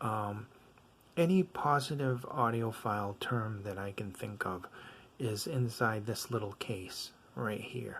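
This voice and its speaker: Somewhat breathy and mumbling, a man talks at a medium pitch. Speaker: audio gear reviewer. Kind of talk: product review. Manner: casual, many fillers.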